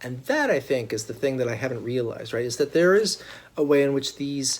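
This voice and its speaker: Here a man speaks at a fairly quick pace. His pitch sits fairly high, with ordinary variation. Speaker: author and college teacher. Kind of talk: casual video intro, then reading a speech aloud. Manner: fast talker; many hesitation words.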